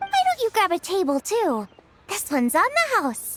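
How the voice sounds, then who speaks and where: Putting on a squeaky character voice, a woman speaks at extremely high pitch with very wide pitch swings, at a moderate pace, in a dry, close sound with no echo. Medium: video game. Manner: bubbly, upbeat.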